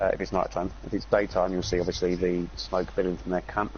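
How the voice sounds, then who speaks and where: This man talks at a very fast pace. He speaks with an English accent. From England. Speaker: video game streamer. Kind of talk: casual gaming chat with tips.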